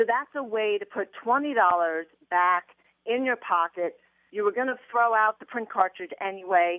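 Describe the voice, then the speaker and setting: This woman has an ordinary speaking voice. She speaks at a moderate pace with lively intonation. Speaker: personal finance author. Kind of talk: interview. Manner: playful.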